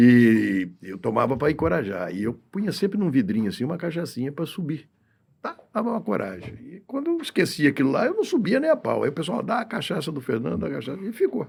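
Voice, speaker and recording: This man's voice sits fairly high for a man and moves at a fairly quick pace. Vocal fry runs through it, and his pitch swings very widely. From Brazil, São Paulo interior. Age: 60s. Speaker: podcast guest. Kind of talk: casual chat. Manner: halting.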